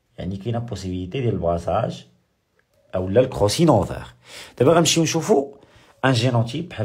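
Amid audible room echo, a somewhat breathy man with a medium pitch talks at a fairly quick pace, making very wide pitch swings and taking long, frequent pauses. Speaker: high school biology teacher. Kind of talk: lecture. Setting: live stream. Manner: repetitive.

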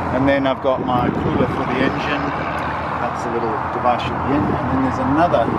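Loud background noise behind a man speaking at a moderate pace. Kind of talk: tutorial explanation. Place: open country. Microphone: phone near.

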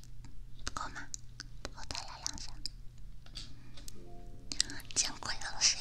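Whispering, the woman talks at a very slow pace. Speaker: ASMR streamer. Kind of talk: casual live-stream chat. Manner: soft, close-mic ASMR chatting. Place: home room. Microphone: studio mic.

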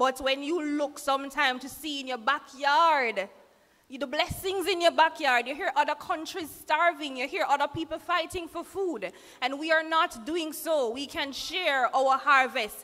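Her voice raised and projected, a woman speaks at a fairly slow pace with ordinary pitch variation. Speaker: service host. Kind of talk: church service announcement and address. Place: church. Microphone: podium.

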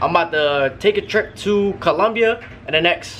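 The voice is a man's. Some light background noise sits behind it. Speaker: vlogger. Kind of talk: casual vlog chat. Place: home room. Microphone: phone near.

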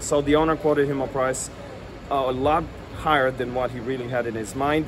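Over noticeable background noise, a man with an American accent speaks in an animated tone at a fairly high pitch. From New Orleans, US South. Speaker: local history tour guide and video storyteller. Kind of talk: true-crime narration. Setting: outdoors on location in front of the house. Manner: conversational storyteller, wry and tongue-in-cheek, with dramatic emphasis; animated, relishing gruesome details, some filler words. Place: street. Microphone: phone near.

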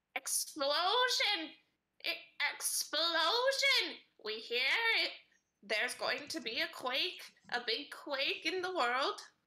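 In a put-on character voice, the speaker talks at a high pitch and a very slow pace, with very wide pitch swings and long, frequent pauses. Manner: simple broken speech, skittish.

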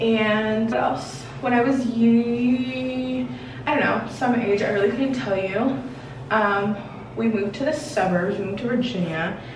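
With an American accent, a woman talks over noticeable background noise, and audible room echo surrounds her voice. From Washington, D.C. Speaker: beauty vlogger. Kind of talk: casual chat. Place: home room. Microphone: camera far.

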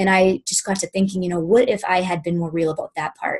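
A woman speaks at a fairly quick pace in an American accent, her voice somewhat breathy. The background is quiet. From Boston, US. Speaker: fitness business coach; guest. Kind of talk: testimony. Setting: conference call. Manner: informal. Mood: earnest, reflective. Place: home room. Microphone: webcam.

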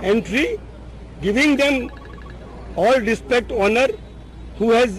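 Over light background noise, a man speaks at a very slow pace. His pitch varies in an ordinary way, and the sound is dry with no echo. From Gujarat, India. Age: 60s. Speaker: politician. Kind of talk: press conference. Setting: press conference.

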